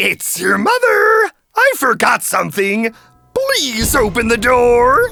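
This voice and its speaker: A put-on character voice, female-sounding, delivered at a fairly slow pace. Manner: disguising the voice, coaxing.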